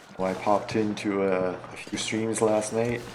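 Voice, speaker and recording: A man's fairly low voice, with noticeable background noise and audible room echo. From Canada. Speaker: video game streamer. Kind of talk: casual gameplay livestream chat. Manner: halting.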